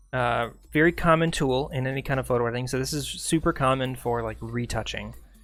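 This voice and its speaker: A man talks at a very fast clip with fairly even intonation. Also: medium pitch for a man. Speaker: streamer teaching photo editing. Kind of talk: live tutorial. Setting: live stream.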